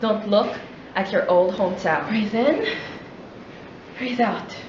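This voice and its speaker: A woman talks at a fairly slow pace with ordinary pitch variation. Light background noise and audible room echo are present. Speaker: spoken word poet. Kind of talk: spoken word poetry performance. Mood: solemn, intense. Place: classroom. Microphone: camera far.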